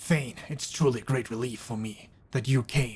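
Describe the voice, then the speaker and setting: Using a put-on character voice, the speaker talks at a moderate pace with a low-to-middle pitch. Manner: gruff, dramatic.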